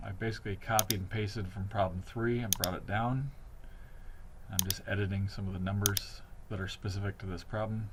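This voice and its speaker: A fairly low-pitched man talking fast-ish and flat, in a monotone, over noticeable background noise. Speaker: teacher. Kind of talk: tutorial.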